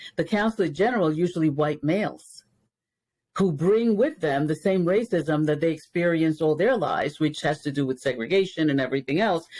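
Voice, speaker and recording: Speaking at a fairly quick pace, a woman with a Spanish accent has a very deep, low pitch. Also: very even loudness. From Dominican Republic, raised in New York. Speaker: race educator. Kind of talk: interview. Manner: many fillers and repetitions.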